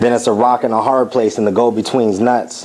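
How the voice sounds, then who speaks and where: Over noticeable background noise, a man with an American accent speaks at a medium pitch and moderate pace in a monotone, flat delivery. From United States. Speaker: war veteran. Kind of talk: spoken word performance.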